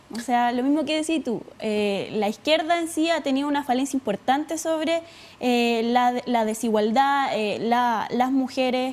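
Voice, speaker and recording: A woman speaks in a Chilean accent at a fairly slow pace and a high pitch. Noticeable background noise can be heard. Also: ordinary pitch variation. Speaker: student leader. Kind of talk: TV interview. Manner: halting, many fillers.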